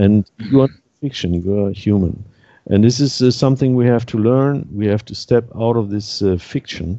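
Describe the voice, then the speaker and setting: A man's moderately paced, fairly low voice with a German accent and ordinary pitch variation. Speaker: activist panelist. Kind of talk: roundtable discussion. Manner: halting.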